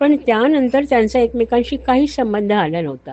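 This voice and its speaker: Here a woman speaks in a high pitch. Her intonation is lively. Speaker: audiobook narrator. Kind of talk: audiobook narration of scripture.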